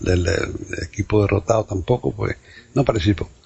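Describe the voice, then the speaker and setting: Music plays in the background while a man talks. His pitch is fairly low and his intonation fairly even. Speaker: podcast host. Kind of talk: casual chat.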